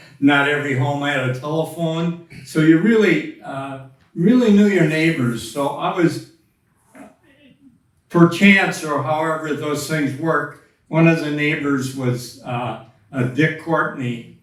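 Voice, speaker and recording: Talking at a very slow pace with an American accent, a man has a fairly high pitch and ordinary pitch variation, with audible room echo around him. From Wisconsin. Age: 80s+. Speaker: flat track motorcycle racer. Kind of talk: interview. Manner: terse.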